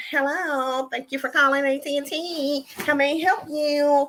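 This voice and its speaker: Someone uses a put-on character voice, high in pitch, at a moderate pace. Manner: fake, overly polite.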